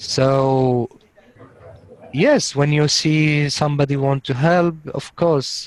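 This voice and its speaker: A man talks in a fairly high voice with fairly even intonation. He leaves long, frequent pauses. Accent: Syrian. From Syria. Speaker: refugee, coding student. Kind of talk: interview. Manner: halting.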